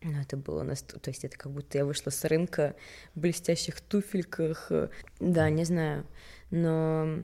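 A woman speaks at a very deep, low pitch in a dark, mellow tone with monotone, flat intonation. Her pace is moderate, with long, frequent pauses. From Sweden, partly Russia. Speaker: fashion model. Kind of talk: casual interview chat.

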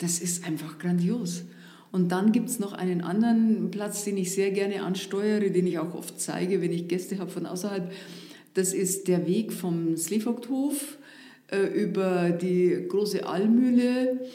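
A woman speaks at a fairly slow pace in an Upper Bavarian accent. Her medium pitch varies in an ordinary way, with audible room echo around her. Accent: Upper Bavarian intonation, rolled R. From Upper Bavaria, northeast of Munich. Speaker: former district administrator. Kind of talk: casual interview. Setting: studio.

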